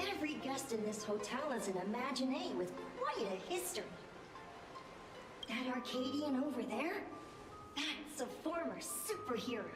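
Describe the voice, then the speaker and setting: Amid loud background noise and clear echo, a female-sounding put-on character voice speaks at a high pitch and a moderate pace. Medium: virtual streamer. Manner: courteous, knowing.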